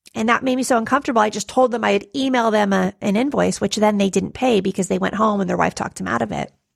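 Over a quiet background, a woman with a medium pitch and ordinary pitch variation speaks with vocal fry. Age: 40s. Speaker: nurse coach and podcast host. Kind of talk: solo podcast monologue. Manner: animated.

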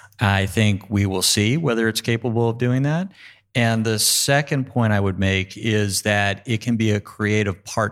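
A man with an American accent speaks at a moderate pace with ordinary pitch variation and very even loudness, in a very clean recording with a silent background. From New York. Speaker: law school dean. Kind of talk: panel discussion. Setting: stage with audience.

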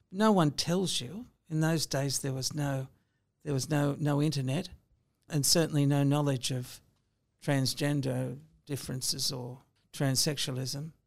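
With an Australian accent, a woman speaks at a very deep, low pitch, fairly slowly and with fairly even intonation. Long, frequent pauses break up her speech in a very clean recording with a silent background. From Sydney, Australia. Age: 60s. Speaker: lawyer. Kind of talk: interview.

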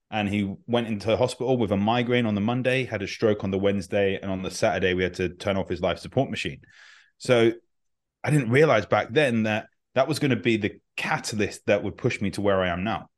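Against a quiet background, a man with a fairly low pitch talks at a fairly quick pace with ordinary pitch variation in an unremarkable speaking voice. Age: 30s. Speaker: functional medicine doctor and health coach. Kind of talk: interview.

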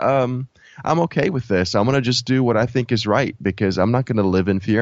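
Fairly quick pace and ordinary pitch variation from a man with an unremarkable speaking voice. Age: 30s. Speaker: product development coach, former mechanical engineer. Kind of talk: casual interview.

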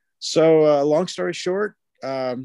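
A man with a Texan accent speaks in a dark, mellow tone with ordinary pitch variation, the sound dry and close with no echo. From Texas, Fort Worth. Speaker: pastor. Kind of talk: interview.

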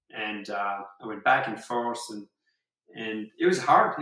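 Here a man with a French accent speaks with ordinary pitch variation. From southwest France. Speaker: surfer. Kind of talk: casual chat. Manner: halting.

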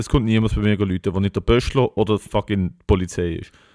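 A dark, mellow tone at a fairly quick pace, with a dry, close sound and no echo. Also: man. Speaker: podcast co-host. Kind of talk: casual chat.

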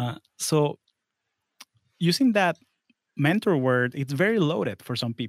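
A man with a Spanish accent speaks at a fairly high pitch with lively intonation. The sound is dry and close with no echo, in a very clean recording with a silent background. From Florida, born in Venezuela. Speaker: engineer and podcast host, guest here. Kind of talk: interview, casual professional conversation.

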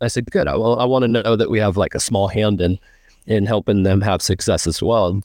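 A man with a plain, everyday voice speaks at a fairly quick pace and fairly low pitch, with ordinary pitch variation. His loudness stays very even over a quiet background. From US Pacific Northwest. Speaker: horse trainer. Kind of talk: casual interview chat.

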